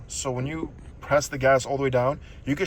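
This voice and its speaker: The speaker is a man with a medium pitch. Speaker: car owner vlogger. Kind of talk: casual walkthrough. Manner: fast; halting.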